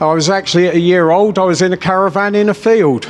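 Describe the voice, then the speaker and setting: Over noticeable background noise, the speech moves at a moderate pace with fairly even intonation. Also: man. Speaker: businessman and political rally speaker. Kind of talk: political rally speech. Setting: stage with audience. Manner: off the cuff, impassioned.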